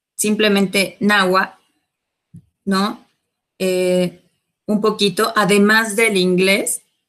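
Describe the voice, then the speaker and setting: With long, frequent pauses, a woman of medium pitch talks very slowly in a monotone, flat intonation. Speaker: teacher. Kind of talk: panel discussion.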